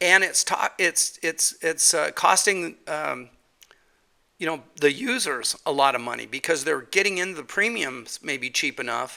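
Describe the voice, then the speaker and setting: At a fairly slow pace, a man speaks with a fairly high voice and a bright, sharp tone. There is vocal fry in his delivery. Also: lively intonation. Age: 60s. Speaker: podcast host. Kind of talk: casual solo podcast monologue. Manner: halting, many fillers and repetitions.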